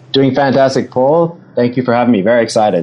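A man with an Australian accent speaks at a fairly quick pace in a dark, mellow tone. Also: medium pitch for a man, ordinary pitch variation.

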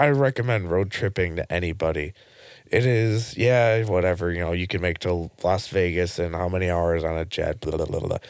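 The recording is very clean, with a silent background. A man speaks at a very deep, low pitch with ordinary pitch variation. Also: fairly quick pace. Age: 20s. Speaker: operations manager and truck driver. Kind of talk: casual chat. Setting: studio.

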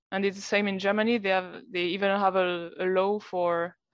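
In a French accent, a woman talks at a medium pitch. Her intonation is monotone and flat, and her pace is moderate. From France, Lyon region. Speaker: brewer. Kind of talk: casual chat. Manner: halting.

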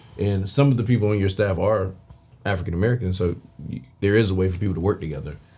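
A man with fairly low pitch and ordinary pitch variation, talking at a very fast pace over music in the background. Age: 30s. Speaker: podcast host. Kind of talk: casual interview.

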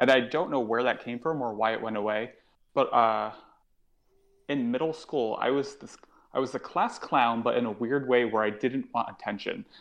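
A man with an American accent speaks in an ordinary speaking voice at medium pitch and a moderate pace. His intonation is fairly even, against a quiet background. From Connecticut, US. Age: 30s. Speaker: stand-up comedian. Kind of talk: casual chat.

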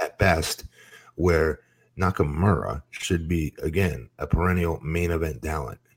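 Vocal fry comes through at a fairly slow pace. The recording is very clean with a silent background, and the sound is dry and close with no echo. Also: man, very deep, low pitch for a man. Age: 40s. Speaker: former pro wrestler, podcast co-host. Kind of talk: casual chat.

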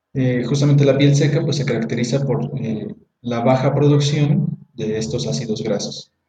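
A man speaks at a medium pitch and moderate pace with fairly even intonation. Audible room echo surrounds his voice. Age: 20s. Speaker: teacher and beauty products seller. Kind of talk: casual educational chat. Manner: halting, repeats words.

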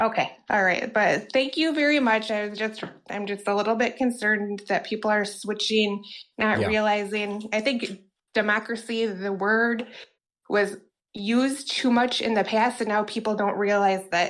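At a fairly slow pace and with an American accent, the speaker uses an ordinary speaking voice, fairly even intonation and very even loudness. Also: woman, fairly high pitch for a woman. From Wisconsin. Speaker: call-in show caller.

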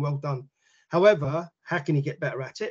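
A man with a London accent talks in a fairly high pitch with a somewhat breathy voice. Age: 50s. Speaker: football coach and researcher. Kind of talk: casual interview chat.

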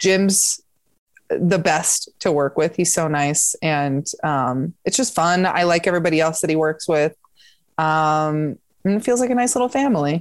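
A woman with a fairly low pitch and lively intonation, at a fairly slow pace with very even loudness. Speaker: comedian. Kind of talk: casual chat. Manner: animated.

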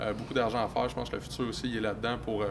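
A man with a Quebec accent talks at a very fast pace with fairly even intonation, and room echo is audible. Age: 20s. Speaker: young entrepreneur and real estate investor. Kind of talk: casual interview.

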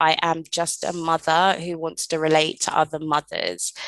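A woman at a fairly low pitch and moderate pace, in a dry, close sound with no echo and a quiet background. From London, England. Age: 30s. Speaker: podcast host. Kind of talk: solo podcast monologue.

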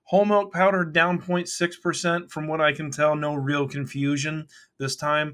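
A man with an American accent speaks at a moderate pace. His voice sits at a fairly high pitch. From US South, Kentucky. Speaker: dairy market analyst. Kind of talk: market commentary podcast.

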